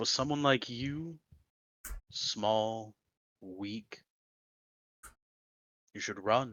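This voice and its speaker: Speaking in a put-on character voice, a man goes at a very slow pace with long, frequent pauses. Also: medium pitch for a man. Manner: fiery, menacing.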